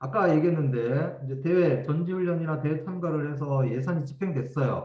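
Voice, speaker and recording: Audible room echo surrounds this man's voice. He speaks at a moderate pace in a fairly high pitch. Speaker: education official giving training. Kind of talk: training lecture.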